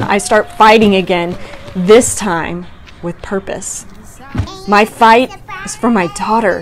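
Background music plays throughout. Over it, a woman talks fairly slowly. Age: 30s. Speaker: person with young onset Parkinson's, single mom. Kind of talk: inspirational personal narration.

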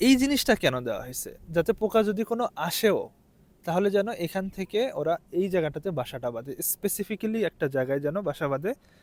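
The pitch swings very widely. The sound is dry and close, with no echo. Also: man, high pitch for a man. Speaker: video blogger, PhD student. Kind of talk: vlog explainer.

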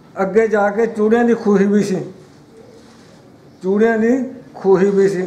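A man's high voice with fairly even intonation and audible room echo. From East Punjab, Ludhiana district; East Punjab. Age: 80s+. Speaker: partition witness. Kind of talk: oral history interview. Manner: halting. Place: home room. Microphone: phone near.

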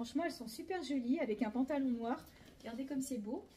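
Noticeable background noise runs through the clip. Delivery is at a moderate pace, with ordinary pitch variation. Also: woman. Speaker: clothing shop owner doing a sales video. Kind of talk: sales pitch.

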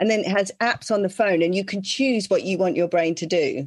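Against a quiet background, a woman with an English accent talks at a fairly quick pace and medium pitch. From England. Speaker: podcast co-host. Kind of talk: casual interview. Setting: video call.

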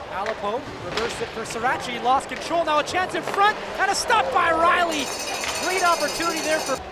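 Over noticeable background noise, a man speaks in an animated, excited tone at an extremely high pitch. His intonation is lively and his pace fairly quick. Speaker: hockey play-by-play commentator. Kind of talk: live hockey commentary. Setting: game highlights video with voiceover. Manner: rapid-fire, animated play-by-play that gets louder and more excited on goals; breathless, clipped phrasing.

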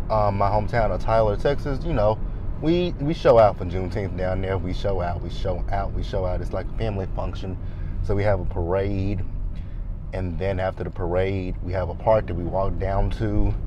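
A dry sound with no echo, a moderate pace, and noticeable background noise. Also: man. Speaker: vlogger driving. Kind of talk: casual vlog chat. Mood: relaxed, upbeat. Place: car. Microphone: lapel.

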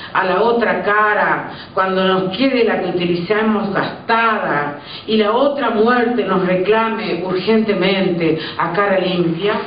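A woman talks at a fairly slow pace with ordinary pitch variation. Light background noise and audible room echo are present. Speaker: storyteller reading at an event. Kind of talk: story reading. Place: stage.

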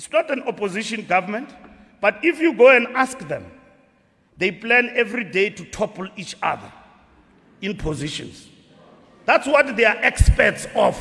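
A man's voice with lively intonation, big swings in loudness, a moderate pace and long, frequent pauses. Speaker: speaker. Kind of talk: funeral speech. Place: hall. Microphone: podium.

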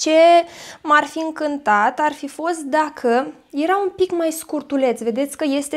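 Ordinary pitch variation marks a woman's fairly slow delivery. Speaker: beauty vlogger. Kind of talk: product unboxing.

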